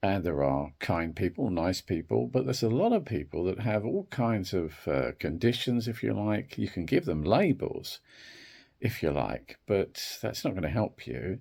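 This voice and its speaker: A man with a very deep, low pitch and vocal fry swings his pitch very widely. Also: moderate pace, very clean recording, silent background. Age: 60s. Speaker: wellbeing video creator. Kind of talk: reflective talk to camera. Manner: hesitant, with fillers.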